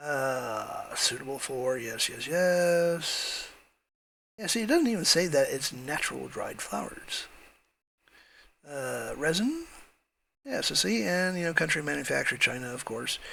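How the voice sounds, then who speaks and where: The speech moves at a fairly slow pace with long, frequent pauses. Audible room echo surrounds the voice. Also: man. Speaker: e-commerce marketer and YouTuber. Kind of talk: screen-share tutorial. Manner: casual with many fillers.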